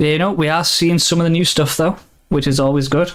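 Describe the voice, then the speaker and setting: Talking at a fairly quick pace with an American accent, a man uses a fairly high pitch and fairly even intonation. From Britain. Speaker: card game tournament commentator. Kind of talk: casual commentary chat.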